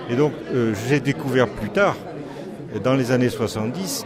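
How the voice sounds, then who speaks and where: Against noticeable background noise and audible room echo, a man talks at medium pitch and a moderate pace. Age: 60s. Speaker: magistrate. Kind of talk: interview.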